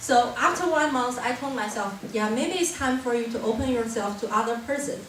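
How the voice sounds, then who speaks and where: With a Chinese accent, a woman with a fairly high pitch speaks at a fairly quick pace with lively intonation, amid audible room echo and noticeable background noise. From China. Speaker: university student. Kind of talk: short talk to an audience.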